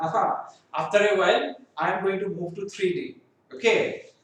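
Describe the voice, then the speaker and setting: A man speaks at a high pitch and a fairly slow pace. The recording has audible room echo. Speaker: professor. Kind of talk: lecture.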